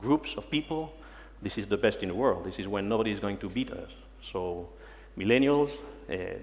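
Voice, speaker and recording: A man with a French accent at a moderate pace, with long, frequent pauses. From France, Paris. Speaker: human resources manager. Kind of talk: conference talk. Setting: stage with audience. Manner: halting.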